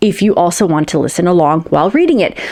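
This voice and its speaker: Speaking very fast, a woman with an American accent holds a medium pitch. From United States. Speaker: science fiction author and booktuber. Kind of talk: casual vlog talk to camera. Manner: conversational, some hesitations and repeats.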